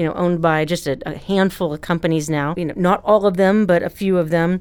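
An unremarkable speaking voice with an American accent moves at a moderate pace with fairly even intonation. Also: woman. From Ohio, US Midwest. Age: 40s. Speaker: journalism professor. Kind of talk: interview.

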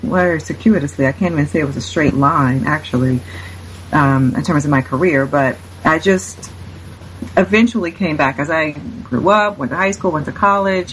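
With an American accent, a woman speaks at a moderate pace, her pitch swinging very widely. Noticeable background noise sits behind her voice. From Cincinnati, Ohio (US Midwest). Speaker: author and religion scholar. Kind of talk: interview.

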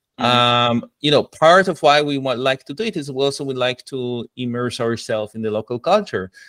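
A man with a medium-pitched voice talks at a fairly quick pace with ordinary pitch variation and hardly any pauses, recorded with a dry, close sound and no echo. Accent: Israeli. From Israel. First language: Hebrew. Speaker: product coach. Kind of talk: casual interview.

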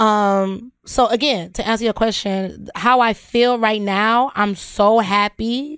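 A woman's fairly high voice at a very slow pace, with fairly even intonation and very even loudness, on a very clean recording with a silent background. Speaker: podcast host. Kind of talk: casual chat.

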